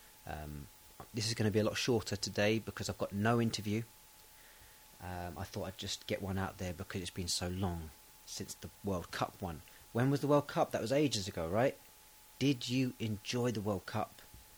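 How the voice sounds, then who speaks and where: A man with an English accent speaks at a moderate pace in a relaxed, somewhat breathy tone, his fairly low pitch moving with ordinary variation. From England. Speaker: podcast host for English learners. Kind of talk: casual monologue. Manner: relaxed, hesitant with fillers.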